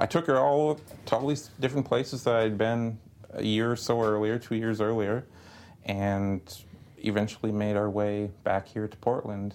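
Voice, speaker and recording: In an unremarkable speaking voice, a man with an American accent talks at a moderate pace, his pitch fairly low with ordinary variation. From US Midwest, Wisconsin. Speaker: photographer. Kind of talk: casual chat.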